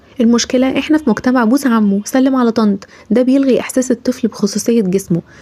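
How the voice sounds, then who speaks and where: Over noticeable background noise, a woman with an Egyptian accent talks at a fairly quick pace, with ordinary pitch variation. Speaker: parenting advice creator. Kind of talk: casual talk to camera, parenting advice.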